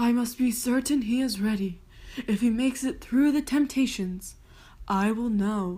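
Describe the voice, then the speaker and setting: Using a put-on character voice, a woman talks at a moderate pace and fairly high pitch, with ordinary pitch variation and very even loudness. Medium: read story.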